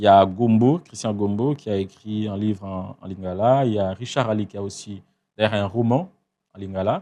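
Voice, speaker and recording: A man's dark, mellow, fairly low voice at a moderate pace. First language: Tshiluba (speaking French). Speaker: writer. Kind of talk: interview. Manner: halting, many hesitations.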